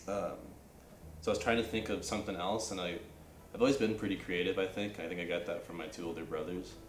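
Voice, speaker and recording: Talking very fast with a Californian accent, a man with a very deep, low voice shows ordinary pitch variation over noticeable background noise and audible room echo. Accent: Californian American English. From Northern California. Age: 20s. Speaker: university student. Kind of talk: casual interview. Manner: casual, many fillers like um and like.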